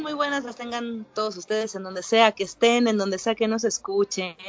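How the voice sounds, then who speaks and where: With hardly any pauses, a woman with a Mexican accent talks at a moderate pace in a fairly high voice, her loudness swinging widely over noticeable background noise. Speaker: podcast host. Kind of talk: casual chat.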